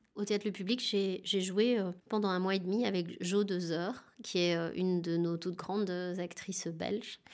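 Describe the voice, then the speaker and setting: A woman speaks at a fairly slow pace in an ordinary speaking voice, her medium pitch carried with fairly even intonation over a very clean recording with a silent background. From France, Dijon suburbs. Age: 40s. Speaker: actress and theatre director. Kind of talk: interview.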